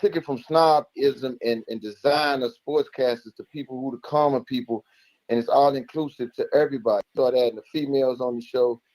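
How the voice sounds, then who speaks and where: The speech comes at a fairly quick pace with big swings in loudness, in a dry, close sound with no echo. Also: man, fairly high pitch for a man. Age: 60s. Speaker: caller. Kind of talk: casual chat. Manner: animated.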